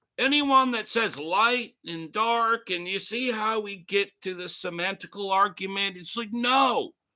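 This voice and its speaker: Very clean with a silent background, the recording catches a man's raised, projected voice, high-pitched and bright and sharp in tone, moving at a fairly slow pace with ordinary pitch variation. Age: 50s. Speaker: talk show host. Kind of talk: live rant. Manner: animated.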